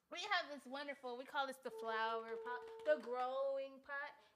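Her high-pitched voice carries an animated tone and lively intonation as this woman talks. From US West Coast, South Central Los Angeles. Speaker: podcast host. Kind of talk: casual chat.

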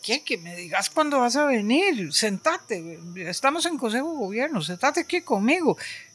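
Very wide pitch swings run through a woman's speech at a moderate pace. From Costa Rica, San José (Barrio Amón). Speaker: retired art history professor. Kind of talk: interview. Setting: at her home. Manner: talkative.

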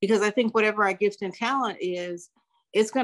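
With a plain, everyday voice and an American accent, a woman talks at a fairly quick pace and medium pitch, the sound dry and close with no echo over a quiet background. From California, US. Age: 60s. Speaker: life coach and retired corporate trainer. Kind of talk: casual interview. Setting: remote call.

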